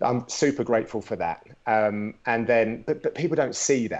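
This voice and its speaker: A man is speaking with a British accent. His pitch sits in the medium range. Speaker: MMA commentator. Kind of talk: interview.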